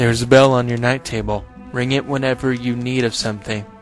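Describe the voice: A man does a put-on character voice at a medium pitch, talking very fast over clear music in the background.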